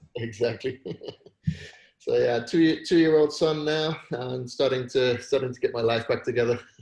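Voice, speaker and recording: With a British accent, a man speaks at a moderate pace, somewhat breathy, his intonation fairly even. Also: medium pitch for a man. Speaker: entrepreneur. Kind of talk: casual chat. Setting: video call.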